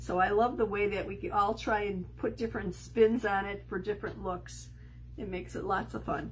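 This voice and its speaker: At a moderate pace, a woman talks with a slight Chicago accent. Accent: slight Chicago accent on certain words. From Chicago, US Midwest. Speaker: crafting video host. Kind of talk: crafting tutorial livestream. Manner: casual, hesitant with many ums.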